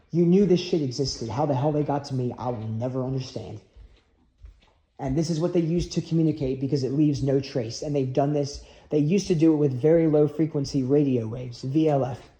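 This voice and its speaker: Speaking at a very fast pace, a man has a fairly high pitch, ordinary pitch variation, a somewhat breathy quality and a dark, mellow tone. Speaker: video blogger. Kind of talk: rambling monologue. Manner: agitated.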